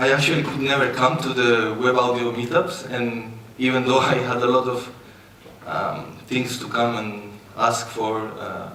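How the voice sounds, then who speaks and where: A man with a strong non-native accent speaks at a fairly slow pace in a medium pitch. His intonation is fairly even, with noticeable background noise and audible room echo. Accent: strong foreign. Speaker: musician and freelance coder. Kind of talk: conference talk. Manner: halting.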